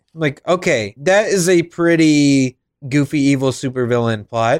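Recorded with a dry, close sound and no echo, a man in an unremarkable speaking voice talks at a moderate pace with a fairly high pitch, ordinary pitch variation and very even loudness. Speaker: podcast host. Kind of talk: casual chat reviewing cartoons.

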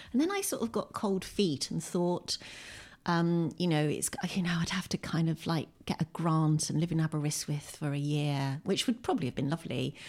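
A woman with a southern English accent and fairly low pitch, moderate in pace, with very even loudness and ordinary pitch variation, on a very clean recording with a silent background. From southern England (Windsor, Berkshire). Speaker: poet and author. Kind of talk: casual interview. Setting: at home.

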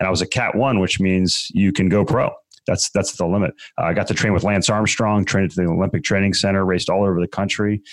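A man with an American accent at a very fast pace, with fairly even intonation and very even loudness, in a very clean recording with a silent background. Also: fairly low pitch for a man. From Maryland, US. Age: 40s. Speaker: real estate investor. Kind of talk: interview. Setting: studio.

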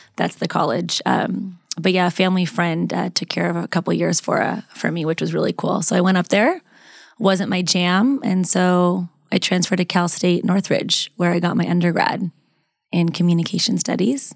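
Recorded very cleanly against a silent background, a woman with an American accent speaks at a moderate pace in a fairly low pitch with vocal fry and ordinary pitch variation. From US West, Las Vegas, Nevada. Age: 30s. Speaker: communications professor and mindset coach. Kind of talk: interview conversation.

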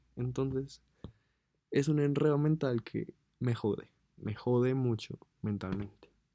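Using a dark, mellow tone, a man speaks at a fairly slow pace with ordinary pitch variation and long, frequent pauses. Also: medium pitch for a man. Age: 20s. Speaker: podcaster. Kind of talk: personal monologue. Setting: alone in his bedroom.

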